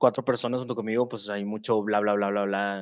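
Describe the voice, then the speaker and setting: In a fairly low pitch, a man speaks with monotone, flat intonation against a quiet background, the sound dry and close with no echo. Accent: Mexican. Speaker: gaming podcast co-host and game coach. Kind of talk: casual chat. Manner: halting, many repetitions and fillers.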